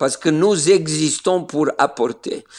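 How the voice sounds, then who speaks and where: A man with a fairly high voice and ordinary pitch variation speaks with a Slovenian accent. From Serbia (Niš, former Yugoslavia). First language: Slovene (speaking French). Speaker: pastor. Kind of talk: interview. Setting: remote call from Israel. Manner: hesitant with many fillers.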